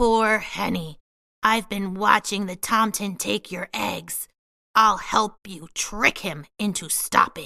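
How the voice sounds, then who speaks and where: On a very clean recording with a silent background, a woman growls in a put-on character voice at a medium pitch and a fairly slow pace. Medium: read story. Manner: gentle, kind.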